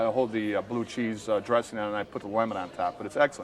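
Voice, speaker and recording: Amid noticeable background noise, a man with a Chicago accent talks very fast at a medium pitch in a monotone, flat delivery. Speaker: restaurant reviewer guest. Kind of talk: casual chat.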